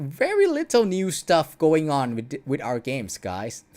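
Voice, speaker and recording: The speaker has a non-native accent. Delivery is at a very slow pace. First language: not English. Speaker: streamer commenting on dance game videos. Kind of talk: casual livestream commentary. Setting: home livestream. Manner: hesitant, many fillers.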